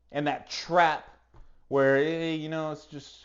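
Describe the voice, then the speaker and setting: Shouting loudly, a man uses a fairly high pitch with fairly even intonation. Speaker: fitness podcast host. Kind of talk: motivational monologue. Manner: loud, yelling; halting, repetitive.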